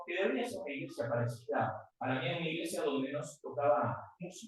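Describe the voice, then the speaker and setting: In a room with audible echo, a man with a Uruguayan accent speaks at a moderate pace with lively intonation. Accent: Uruguayan Rioplatense Spanish, unmodified. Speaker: guest preacher. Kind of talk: sermon. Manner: animated.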